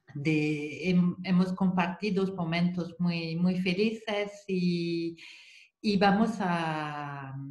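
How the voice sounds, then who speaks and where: A woman with a French accent speaks very slowly in a somewhat breathy voice, her intonation fairly even. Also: fairly low pitch for a woman, very even loudness. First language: French (speaking Spanish). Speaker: psychomotor therapist. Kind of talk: online seminar talk. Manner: halting, repetitive.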